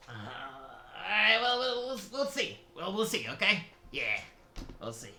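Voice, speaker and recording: A put-on character voice with a fairly high pitch moves at a fairly slow pace, with audible echo around it. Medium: actual play. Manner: hesitant, rambling.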